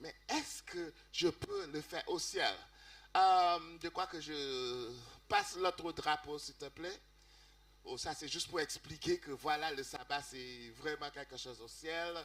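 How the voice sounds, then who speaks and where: Against noticeable background noise, a man with a non-native accent speaks at a very slow pace with big swings in loudness. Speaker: music seminar speaker. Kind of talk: seminar talk in church. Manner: halting, self-correcting.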